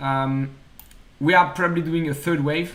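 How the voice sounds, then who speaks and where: A man with a French accent speaks at a fairly high pitch with fairly even intonation. Room echo is audible. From France. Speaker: stock trading streamer. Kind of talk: live trading analysis stream.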